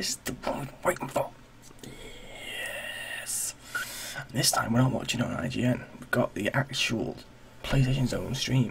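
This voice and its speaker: A man whispers fairly slowly while noticeable noise fills the background. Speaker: gaming streamer. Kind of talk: casual chat. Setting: live stream.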